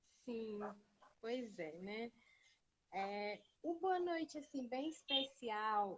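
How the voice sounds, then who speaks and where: A woman speaking at a very slow pace, fairly high in pitch, in a dry, close sound with no echo. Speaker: teacher, writer and singer. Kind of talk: casual live stream chat. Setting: Instagram live video. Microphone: audio too quiet.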